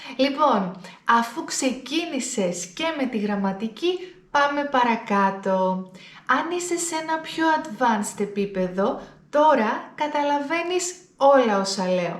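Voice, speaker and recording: A woman with a high pitch speaks at a very slow pace with very wide pitch swings. Audible room echo surrounds her voice. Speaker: Greek language teacher. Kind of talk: language lesson to camera. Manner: deliberately slowed, clear speech.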